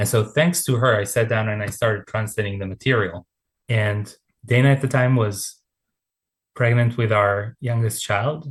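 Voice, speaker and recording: This speaker has an Israeli accent and a somewhat breathy voice, moving at a moderate pace with ordinary pitch variation. Long, frequent pauses break up the speech against a quiet background. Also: man, medium pitch for a man. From Israel, Tel Aviv. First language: Hebrew. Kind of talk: interview.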